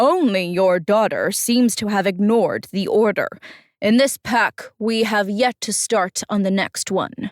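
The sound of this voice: The clip has an unforced reading voice. The background is quiet.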